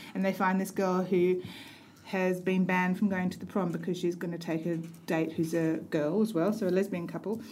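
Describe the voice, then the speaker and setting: A woman talks at a fairly quick pace in a monotone, flat intonation, with audible room echo. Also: medium pitch for a woman. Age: 50s. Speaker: podcast co-host. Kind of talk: casual chat.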